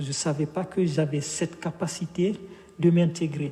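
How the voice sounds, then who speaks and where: Over noticeable background noise, a man speaks very slowly in a West African accent. His voice is fairly high and his intonation fairly even. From Guinea. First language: Fula (speaking French). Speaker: author. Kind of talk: interview. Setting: bookshop event streamed live. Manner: hesitant, many fillers.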